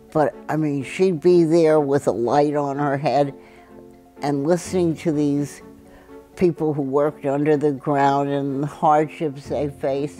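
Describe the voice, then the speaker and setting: Music plays in the background as a woman speaks at a fairly slow pace. Her voice is very deep and low, with ordinary pitch variation. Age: 80s+. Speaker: activist and scientist. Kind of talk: oral history interview.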